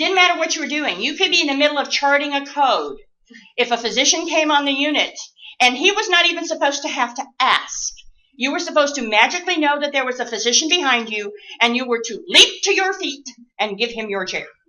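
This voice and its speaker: A woman's high, very fast voice with lively intonation and audible room echo. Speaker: nurse educator. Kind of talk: lecture.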